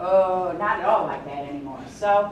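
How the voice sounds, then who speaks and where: A woman speaks with audible room echo. Noticeable background noise can be heard as well. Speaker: workshop presenter, job search counselor. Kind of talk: workshop talk. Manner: loud.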